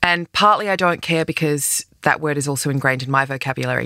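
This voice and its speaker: Her voice is very deep and low, with a bright, sharp tone and ordinary pitch variation. This woman talks at a moderate pace in an Australian accent. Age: 40s. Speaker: podcast host, advice columnist. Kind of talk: advice monologue.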